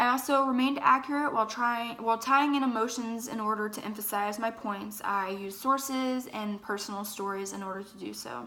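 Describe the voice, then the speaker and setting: Speaking at a fairly quick pace, a woman with a fairly high pitch keeps a fairly even intonation over noticeable background noise. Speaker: college student. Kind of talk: self-evaluation monologue. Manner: hesitant, with fillers.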